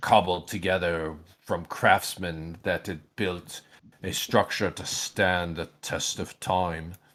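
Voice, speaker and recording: A man puts on a character voice, very deep and low in pitch, delivered at a fairly slow pace. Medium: actual play.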